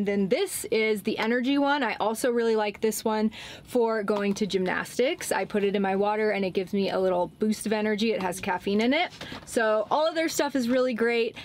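Talking at a fairly quick pace, a woman uses ordinary pitch variation over light background noise. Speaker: van life vlogger. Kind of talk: sponsor read, casual vlog chat. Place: car. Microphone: camera far.

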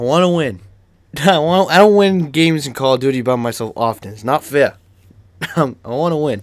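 A man with a Boston accent, fairly high in pitch, animated and lively in intonation, at a fairly quick pace with long, frequent pauses and big swings in loudness. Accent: Boston accent, strong now. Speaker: gaming YouTuber. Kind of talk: gameplay commentary. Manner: animated, frequent exclamations.

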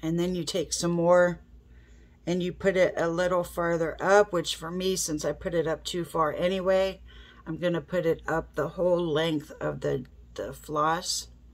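A woman speaks in a nasal voice with fairly low pitch, fairly even intonation, and a fairly slow pace.

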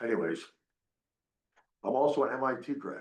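Audible room echo surrounds a man speaking at a medium pitch. He moves at a moderate pace with lively intonation.

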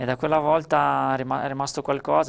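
The man in this clip speaks at a moderate pace. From Friuli, Italy (Gemona); Friuli, Italy. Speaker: ultra trail runner. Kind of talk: interview. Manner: halting, with repeated words. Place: studio. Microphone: lapel.

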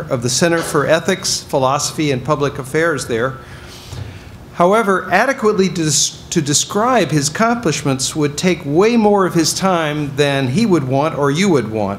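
Against light background noise, a man speaks at a moderate pace. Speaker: event host introducing speaker. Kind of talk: formal speaker introduction. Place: hall. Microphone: podium.

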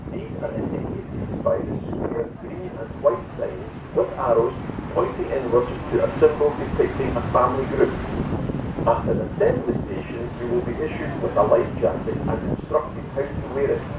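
There is loud background noise behind this man. He speaks at a moderate pace. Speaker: ship announcer. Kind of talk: safety announcement. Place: boat.

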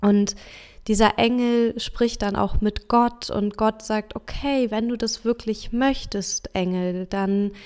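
A woman speaks at a very slow pace with a calm tone. Her pitch sits fairly high, and her intonation stays fairly even. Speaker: podcast host and life coach. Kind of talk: motivational talk; guided meditation.

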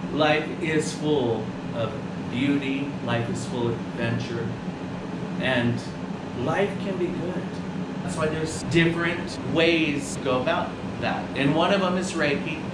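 Over loud background noise and audible room echo, a man talks at a fairly slow pace with long, frequent pauses. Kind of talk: interview answer. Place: shop. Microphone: camera far.

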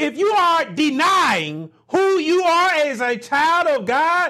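Against a quiet background, a man speaks at a very slow pace with an extremely high pitch and lively intonation. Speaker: minister. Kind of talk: sermon preaching. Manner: emphatic, rhetorical. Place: home room.

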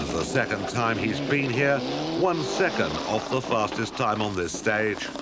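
A man at a moderate pace with very wide pitch swings, music in the background. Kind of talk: race commentary / rally report voiceover. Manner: brisk, clipped, matter-of-fact; even and measured, like a sports news reader.

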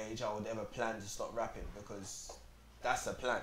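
In a London accent, a man speaks at a medium pitch and moderate pace with monotone, flat intonation, with audible room echo and light background noise. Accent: London Multicultural English. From South London, Peckham. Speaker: rapper; interview guest. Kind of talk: casual chat. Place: shop. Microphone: lapel.

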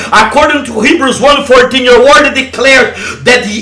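A man speaks in a raised, projected voice at a moderate pace, with audible room echo. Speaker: evangelist leading online deliverance prayer. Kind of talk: fervent deliverance prayer, commanding and declaring. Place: home room. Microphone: headset.

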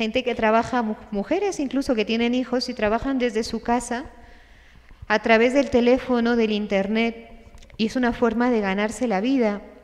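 Speaking at a moderate pace, a woman keeps a fairly even intonation. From Spain. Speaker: religious sister and speaker. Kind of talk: conference talk. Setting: stage with audience, livestreamed. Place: hall. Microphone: podium.

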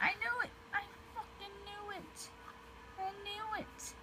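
Over loud background noise, a woman uses a put-on character voice at an extremely high pitch, speaking at a fairly slow pace.

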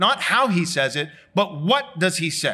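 In a raised, projected voice, a man speaks at a fairly slow pace against a quiet background. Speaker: pastor. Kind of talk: sermon. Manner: loud. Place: church. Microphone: lapel.

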